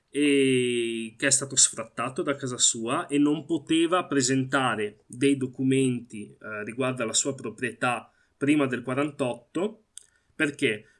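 A man speaks very slowly at a medium pitch with ordinary pitch variation. The recording is very clean, with a silent background. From Italy. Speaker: Palestinian activist. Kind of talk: interview. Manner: halting.

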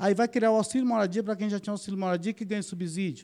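The recording is very clean with a silent background. A man speaks at a high pitch. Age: 50s. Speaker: military police officer and political candidate. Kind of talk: podcast interview.

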